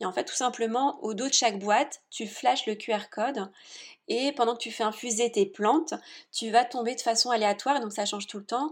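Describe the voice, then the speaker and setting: A woman talks at a fairly quick pace with a fairly high pitch. Her recording is very clean, the background silent. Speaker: entrepreneur. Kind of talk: interview. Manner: animated.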